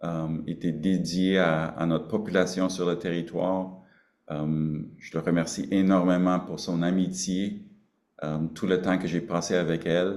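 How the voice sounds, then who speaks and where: In a room with audible echo, a man with a very deep, low pitch speaks at a fairly slow pace with flat, monotone intonation. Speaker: Cree grand chief chairing regional council meeting. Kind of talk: council meeting speech. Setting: video conference. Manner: halting, many hesitations.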